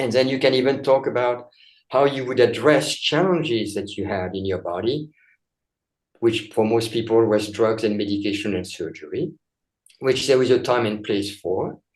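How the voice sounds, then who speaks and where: This man talks at a moderate pace in a medium pitch. His pitch varies in an ordinary way. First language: not English. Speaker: chiropractor and author. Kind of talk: interview.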